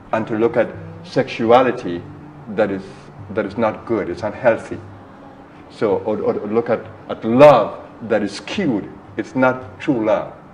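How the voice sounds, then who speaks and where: Fairly slow speech with long, frequent pauses, ordinary pitch variation and noticeable background noise. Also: man, medium pitch for a man. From Trinidad and Tobago. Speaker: spiritual teacher. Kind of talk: interview.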